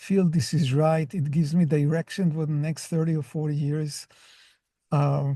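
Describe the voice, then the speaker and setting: A man speaks fairly slowly with a somewhat breathy, dark, mellow tone and a fairly high pitch. His intonation is fairly even, with long, frequent pauses. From Israel. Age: 60s. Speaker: professor. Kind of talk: interview. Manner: unhurried; halting.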